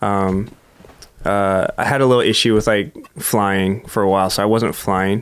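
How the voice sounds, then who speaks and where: A man with an American accent speaks at a moderate pace with a fairly low pitch and fairly even intonation. His loudness stays very even despite noticeable background noise. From Southern California (Huntington Beach). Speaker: professional skateboarder. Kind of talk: casual interview chat.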